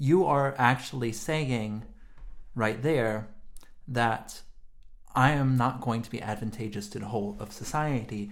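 Speaking at a fairly slow pace with long, frequent pauses, a man with a medium pitch and ordinary pitch variation is heard in a room with audible echo. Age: 30s. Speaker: podcast co-host, philosopher. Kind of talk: casual philosophical discussion.

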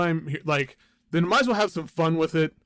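The man's pitch is high with ordinary variation, and the sound is dry and close with no echo. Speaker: music podcast co-host. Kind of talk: casual chat.

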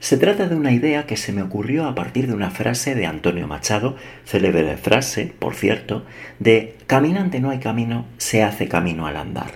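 A man with a medium pitch talks at a moderate pace with very wide pitch swings. Vocal fry runs through his voice. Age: 40s. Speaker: podcast host. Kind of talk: scripted monologue. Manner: measured.

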